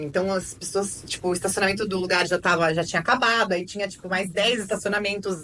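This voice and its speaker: A woman talks at a very fast pace. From Brazil, São Paulo. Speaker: lawyer and podcast host. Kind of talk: casual chat.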